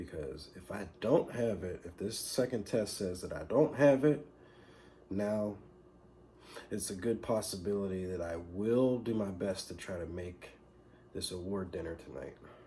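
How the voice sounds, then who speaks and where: Somewhat breathy and fairly low-pitched, the man's dark, mellow voice has lively intonation. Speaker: vlogger. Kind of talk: vlog.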